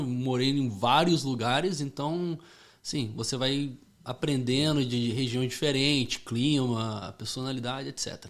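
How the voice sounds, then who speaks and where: Fairly even intonation and a fairly slow pace in an ordinary speaking voice. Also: man. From Rio de Janeiro, Brazil until 8, then Connecticut, US. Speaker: former US Marine, gun shop owner. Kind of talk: podcast interview. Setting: studio.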